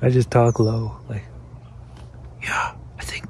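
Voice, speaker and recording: A man whispering at a fairly slow pace over noticeable background noise. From British Columbia, Canada. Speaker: van life vlogger. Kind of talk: casual talk to camera. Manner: whispered, low-voiced. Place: waterside. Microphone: phone near.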